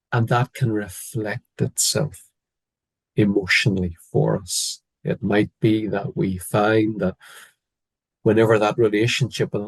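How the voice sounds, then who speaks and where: A man with a Northern Irish accent speaks at a fairly low pitch, somewhat breathy, in a dry, close sound with no echo. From Northern Ireland. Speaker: biblical counsellor, former psychiatrist. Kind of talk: interview. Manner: hesitant, many fillers.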